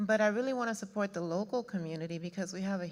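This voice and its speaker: On a very clean recording with a silent background, a woman with an American accent speaks in an ordinary speaking voice at medium pitch with fairly even intonation. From Houston, Texas; Cuban American family. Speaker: customs broker, audience member. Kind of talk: audience question.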